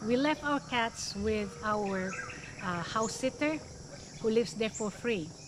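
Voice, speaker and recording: A woman's fairly high-pitched voice with lively intonation at a fairly slow pace, over noticeable background noise. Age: 60s. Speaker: retired nurse vlogger. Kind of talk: casual vlog talk.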